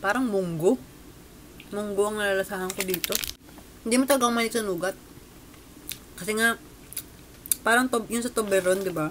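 Over light background noise, a woman speaks at a fairly quick pace with ordinary pitch variation. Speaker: food vlogger. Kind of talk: casual vlog chat, snack review. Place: home room. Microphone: webcam.

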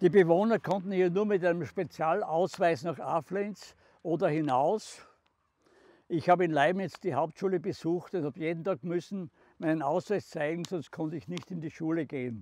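A man with a Styrian accent, high-pitched, with ordinary pitch variation, at a moderate pace, in dry sound with no echo. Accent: Styrian Austrian German. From southern Styria, Austria. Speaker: contemporary witness, former mayor. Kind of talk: documentary guided narration. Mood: calm, serious recollection. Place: open country.

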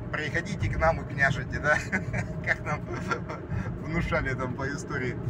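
Loud background noise sits behind a man speaking at a moderate pace, the sound dry with no echo. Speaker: driver vlogger. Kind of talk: casual vlog chat. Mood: ironic, mildly critical. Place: car. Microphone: phone near.

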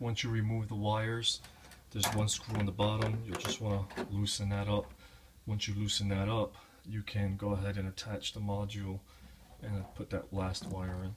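Over light background noise, a man talks at a moderate pace in a fairly low pitch with monotone, flat intonation. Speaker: home repair demonstrator. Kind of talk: tutorial. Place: kitchen. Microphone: phone near.

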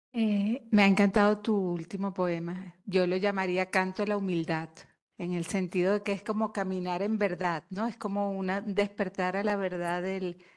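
A woman speaks at a moderate pace in a monotone, flat intonation. The background is quiet. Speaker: audience member. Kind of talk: question from audience. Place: hall.

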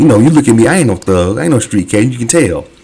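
A man speaks at a fairly low pitch. Background noise is noticeable. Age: 40s. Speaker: YouTube reaction host. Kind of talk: casual commentary.

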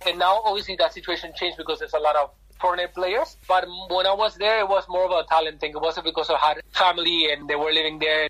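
Talking at a very fast pace, a man with a Spanish accent has a high pitch. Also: fairly even intonation. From Argentina. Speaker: football agent. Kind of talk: interview.

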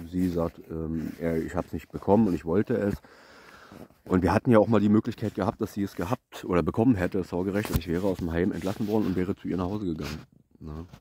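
Very fast speech from a man with a very deep, low pitch, dark and mellow in tone, with ordinary pitch variation, dry with no echo and over light background noise. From eastern Germany, Brandenburg. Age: 30s. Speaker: vlogger. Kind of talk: personal life story monologue. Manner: halting. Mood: reflective, serious. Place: forest. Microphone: phone near.

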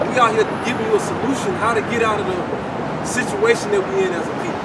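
Crowd noise fills the background while a man speaks at a fairly quick pace. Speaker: street preacher. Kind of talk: sermon. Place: street. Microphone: camera far.

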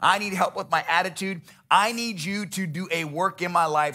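Against a quiet background, the man's voice shows ordinary pitch variation. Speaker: pastor. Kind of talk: sermon. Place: church. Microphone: headset.

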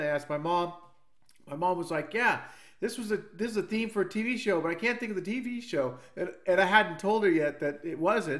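A man's high voice at a fairly quick pace, against a quiet background. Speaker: video creator. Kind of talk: casual vlog chat. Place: home room.

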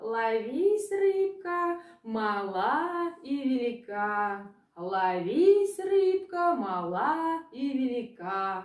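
Putting on a character voice, a woman speaks very slowly at a fairly high pitch with big pitch swings.

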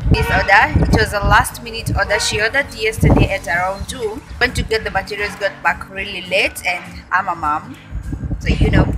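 A woman keeps a moderate pace while there is music in the background. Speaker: vlogger. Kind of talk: casual vlog chat. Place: street. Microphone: phone near.

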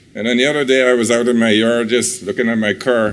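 A man at medium pitch and moderate pace, with audible room echo. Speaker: resident giving public comment. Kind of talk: public comment at county meeting. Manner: halting, many fillers.

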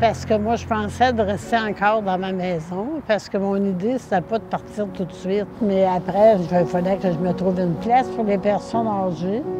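At a fairly slow pace, a woman speaks at a medium pitch with ordinary pitch variation. The sound is dry with no echo, though there is noticeable background noise. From Quebec, Beauce region. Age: 80s+. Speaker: flood victim. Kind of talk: interview answer. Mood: emotional, reminiscing. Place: open country. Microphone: lapel.

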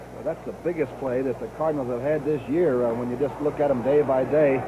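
Against noticeable background noise, a man talks fairly quickly in a confident tone. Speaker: TV football announcer. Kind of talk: live radio sports commentary, 1970 NFL broadcast, play-by-play and analysis. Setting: press box stadium broadcast, live radio. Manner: crisp, knowledgeable color-analyst tone, explaining plays with confident detail. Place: stadium.

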